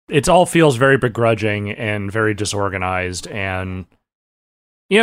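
With an American accent, a man talks at a fairly slow pace in an unremarkable speaking voice, his intonation lively. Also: very clean recording, silent background. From Northern California. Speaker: podcast co-host. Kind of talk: casual chat.

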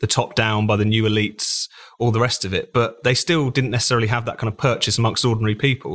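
Speaking with a British accent, a man talks at a very fast pace in a medium pitch. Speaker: magazine editor. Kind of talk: panel discussion. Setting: remote call.

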